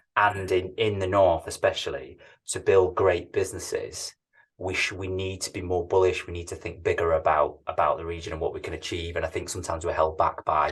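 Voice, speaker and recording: The speaker talks at a fairly quick pace in a Manchester accent against a quiet background. Loudness swings widely throughout. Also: man. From northern England, Manchester. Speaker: tech company CEO. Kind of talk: interview. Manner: hesitant, repeats words.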